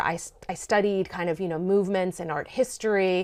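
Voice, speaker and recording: Over a quiet background, a woman with an American accent and an ordinary speaking voice talks at a fairly quick pace and medium pitch. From Maryland, US. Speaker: sociology professor. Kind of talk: interview conversation.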